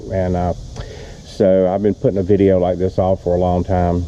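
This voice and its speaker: With noticeable background noise behind it, the voice moves at a fairly quick pace in monotone, flat intonation. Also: man. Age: 70s. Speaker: boat owner reviewing his own boat. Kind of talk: casual video walkthrough. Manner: casual with frequent fillers.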